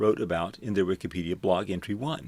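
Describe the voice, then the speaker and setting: A very clean recording with a silent background, featuring a man with an American accent and a fairly low pitch. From US Gulf Coast, Houston. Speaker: university librarian teaching a course. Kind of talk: lecture.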